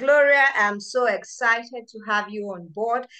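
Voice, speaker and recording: In a Nigerian accent, a woman with a bright, sharp tone uses ordinary pitch variation against a quiet background. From Nigeria (Yoruba). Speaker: medical researcher and event organiser. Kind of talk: public lecture and book launch hosting.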